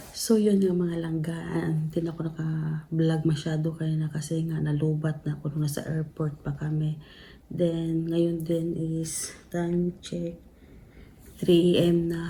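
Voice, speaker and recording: Soft-spoken and somewhat breathy, a woman speaks with a dark, mellow tone at a very deep, low pitch, monotone and flat, at a fairly slow pace amid audible room echo. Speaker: vlogger. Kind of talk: casual vlog chat. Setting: at home, late night. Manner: soft-spoken, lowered voice.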